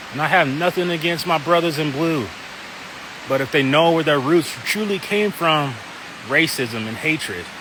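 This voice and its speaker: Over noticeable background noise, a man with a fairly high pitch speaks at a moderate pace and with ordinary pitch variation. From Wyoming. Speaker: pastor. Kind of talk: testimony. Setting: outdoors in a park. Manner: casual, conversational.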